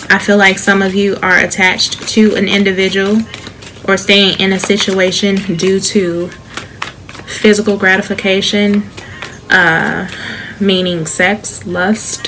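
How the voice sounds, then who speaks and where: A woman with an American accent talks at a fairly slow pace with monotone, flat intonation and long, frequent pauses. Noticeable background noise sits behind her. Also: medium pitch for a woman. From Chicago. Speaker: tarot reader. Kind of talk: tarot reading to camera. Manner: soft-spoken, soothing.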